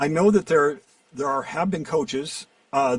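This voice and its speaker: Here is a man with a plain, everyday voice and fairly high pitch. His intonation is lively and his pace moderate. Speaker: voiceover actor and coach. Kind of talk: interview answer.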